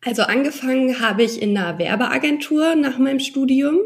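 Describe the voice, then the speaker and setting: This woman speaks at a moderate speed. There is some breathiness in her voice. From Hesse, Germany (Darmstadt area, then Mannheim). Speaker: social media marketing entrepreneur. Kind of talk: interview.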